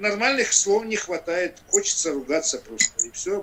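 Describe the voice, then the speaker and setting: A man talks fairly slowly while background noise remains noticeable. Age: 60s. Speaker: environmental activist. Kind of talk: panel discussion. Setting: video call. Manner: halting, many filler sounds.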